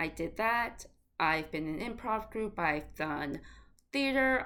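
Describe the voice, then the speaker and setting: Speaking at a very slow pace, a woman has a slight Boston accent. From Boston, Massachusetts. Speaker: actor and writer, vlogger. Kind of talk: casual vlog Q&A. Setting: at home in summer heat. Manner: casual, chatty.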